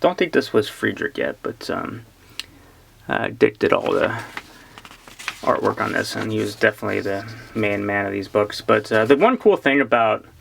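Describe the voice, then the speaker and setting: The speech has long, frequent pauses. Background noise is noticeable. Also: moderate pace. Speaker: comic book collector YouTuber. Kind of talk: casual unboxing chat. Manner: chatty, hesitant with fillers.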